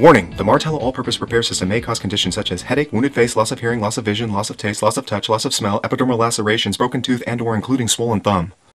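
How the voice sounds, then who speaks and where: Very fast, upbeat speech from a man at medium pitch, ordinary pitch variation, hardly any pauses, and music in the background. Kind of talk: parody infomercial voice-over. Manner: upbeat, salesy.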